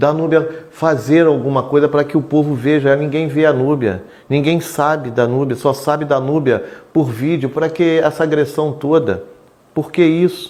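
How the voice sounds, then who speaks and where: A plain, everyday voice at a fairly slow pace, with fairly even intonation and very even loudness. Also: man, fairly high pitch for a man. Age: 60s. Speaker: local politician. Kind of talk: interview.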